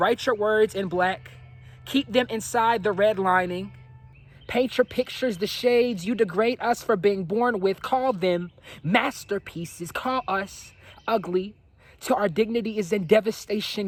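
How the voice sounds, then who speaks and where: A man with a high voice talks fairly slowly, his pitch moving in an ordinary way. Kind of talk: spoken word poetry performance.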